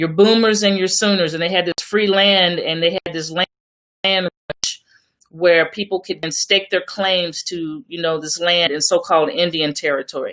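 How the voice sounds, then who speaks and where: With an American accent and an unremarkable speaking voice, a woman speaks at a moderate pace with a fairly low pitch and fairly even intonation, in a dry, close sound with no echo. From Oklahoma. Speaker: radio co-host. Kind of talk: online radio show discussion.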